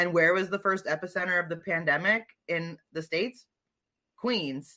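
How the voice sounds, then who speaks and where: A woman with an American accent, a fairly low pitch and a bright, sharp tone, at a moderate pace. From New Jersey. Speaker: comedian. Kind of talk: casual chat.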